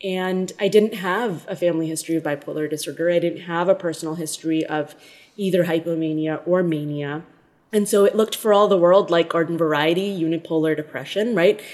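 A woman speaks at a fairly quick pace in a fairly low pitch. Her intonation stays fairly even. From India, also raised in the Philippines and US. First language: Hindi. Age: 30s. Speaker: pediatrician and public health leader. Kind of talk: interview.

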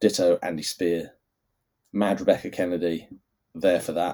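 Monotone, flat delivery at a moderate pace from a man with a very deep, low pitch. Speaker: history writer and newsletter author. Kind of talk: casual solo Q&A monologue. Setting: solo video recording. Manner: halting, many fillers and repetitions.

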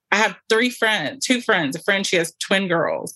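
A woman's bright, sharp voice with an American accent and ordinary pitch variation, dry and close with no echo over a quiet background. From US South. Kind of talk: casual chat.

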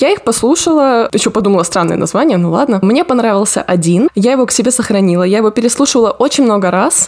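Speaking very fast with lively intonation, a woman has a fairly high pitch over noticeable background noise. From Rostov region, southern Russia. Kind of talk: casual chat.

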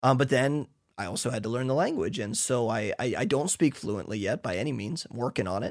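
In a very clean recording with a silent background, a man with an American accent speaks at a medium pitch and a fairly quick pace with lively intonation. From United States. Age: 30s. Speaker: missionary pastor and podcaster. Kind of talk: casual monologue.

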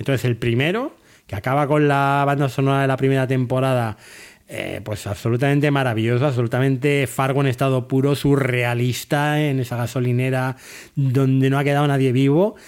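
An unremarkable speaking voice, fairly quick in pace and fairly even in intonation. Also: man, medium pitch for a man. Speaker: TV series podcaster. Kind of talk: solo review monologue.

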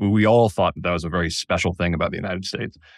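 On a very clean recording with a silent background and a dry, close sound with no echo, a man talks at a very fast pace in a very deep, low voice. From Connecticut, US. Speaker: free speech advocate, author. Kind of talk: interview.

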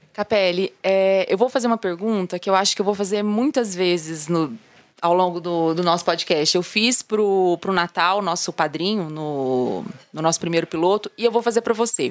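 Here a woman has an unremarkable speaking voice at a medium pitch, talking at a moderate pace with ordinary pitch variation and a dry, close sound with no echo. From Brazilian countryside. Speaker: podcast host. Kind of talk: interview.

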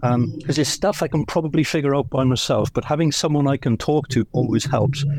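A man with a British accent talks at a fairly quick pace. His voice is fairly high, with fairly even intonation. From Britain. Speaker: automotive industry professional. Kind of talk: audience comment in live audio.

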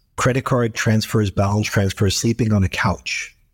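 Recorded dry and close with no echo, this somewhat breathy voice in an American accent moves at a fairly quick pace with fairly even intonation against a silent background in a very clean recording. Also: man. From New York City. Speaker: tech company founder and CEO. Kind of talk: interview.

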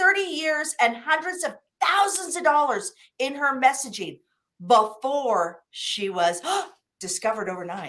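A woman with an American accent uses a raised, projected voice with a bright, sharp tone and high pitch. She goes at a very slow pace while her pitch swings very widely. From US Midwest, Wichita, Kansas. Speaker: business coach. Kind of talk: interview.

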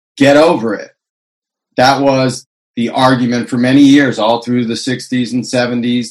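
A normal speaking voice at a fairly slow pace with fairly even intonation. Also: man. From California. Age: 50s. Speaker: cannabis activist and consultant. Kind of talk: interview.

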